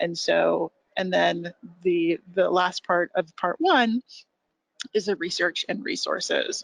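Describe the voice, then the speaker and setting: Speaking very slowly in a Californian accent, a woman is captured in dry, close sound with no echo. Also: quiet background. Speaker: education program presenter. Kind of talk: webinar presentation.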